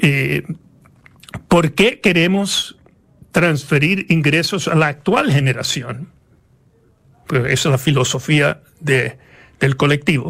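The pace is very slow, with long, frequent pauses. Loudness stays very even, and pitch varies in an ordinary way. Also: man, fairly high pitch for a man. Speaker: economist. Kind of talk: interview. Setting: studio.

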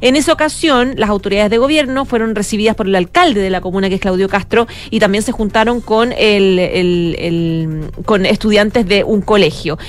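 Over noticeable background noise, a woman of medium pitch speaks at a moderate pace with lively intonation. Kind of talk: news reading.

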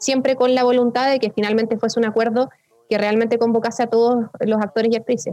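A woman talks at a very fast pace. Her fairly high voice stays flat and monotone. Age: 20s. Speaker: politician. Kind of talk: interview.

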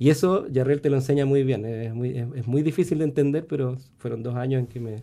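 Speaking at a fairly quick pace, a man uses a dark, mellow tone with ordinary pitch variation. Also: medium pitch for a man. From Chile, born in Venezuela. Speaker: composer and music professor. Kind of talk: radio interview.

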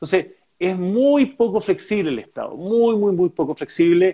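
The speaker has a Chilean accent and lively intonation, talking at a fairly slow pace. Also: man. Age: 40s. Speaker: political candidate. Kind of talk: interview. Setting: video call.

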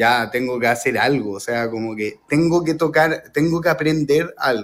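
The recording is very clean, with a silent background. A man with a Chilean accent speaks at a moderate pace, his fairly high pitch showing ordinary variation. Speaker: jazz guitarist. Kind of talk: radio interview. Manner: halting.

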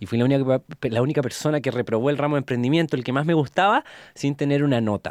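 A man speaks very fast with a Chilean accent, his pitch fairly high and its variation ordinary. The recording is very clean with a silent background, and the sound is dry and close with no echo. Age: 20s. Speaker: entrepreneur. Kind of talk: interview testimony. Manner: casual, colloquial.

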